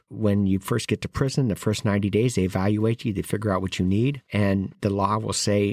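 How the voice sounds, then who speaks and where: A man with a normal speaking voice and a fairly low pitch talks at a fairly quick pace. The intonation is fairly even, and the sound is dry and close with no echo. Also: very clean recording, silent background. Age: 60s. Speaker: formerly incarcerated justice advocate. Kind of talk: interview testimony.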